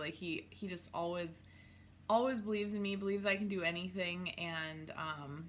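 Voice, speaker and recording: This woman speaks at a fairly quick pace with an Upper Midwest accent. Her pitch is medium, with ordinary pitch variation. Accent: Upper Midwest American. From North Dakota, small town. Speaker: clothing stylist, small business owner. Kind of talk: casual chat.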